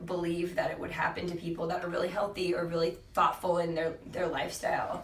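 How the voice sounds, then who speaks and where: The speaker has an American accent and a monotone, flat intonation. Noticeable background noise and audible room echo are present. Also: woman. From California, San Diego. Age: 20s. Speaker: fitness coach and cancer survivor. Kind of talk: podcast interview. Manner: conversational, halting with fillers.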